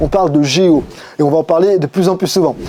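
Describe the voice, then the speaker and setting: Noticeable background noise sits behind a man whose high-pitched voice shows ordinary pitch variation. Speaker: digital marketing agency owner. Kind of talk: tutorial. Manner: fast.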